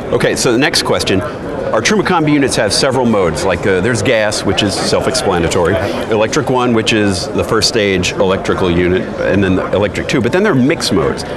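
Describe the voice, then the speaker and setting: A man talks at a very fast clip with hardly any pauses, his medium-pitched voice lively in intonation and very even in loudness, over noticeable background noise. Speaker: RV channel host. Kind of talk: interview questions.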